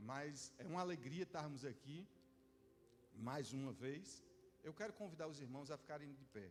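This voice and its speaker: A man speaks at a moderate pace in a fairly high, somewhat breathy voice with ordinary pitch variation. Long, frequent pauses break up his speech, and there is audible room echo. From Northeast Brazil (João Pessoa, Paraíba). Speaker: visiting pastor. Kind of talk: sermon. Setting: church service.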